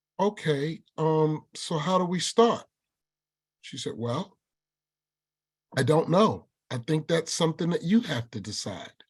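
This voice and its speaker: A man with a northern US accent speaks with a fairly high pitch and lively intonation. His loudness swings widely, and he leaves long, frequent pauses. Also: fairly slow pace. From New York. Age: 60s. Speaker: workshop presenter and army combat veteran. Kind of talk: webinar talk with personal storytelling. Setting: video webinar. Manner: animated.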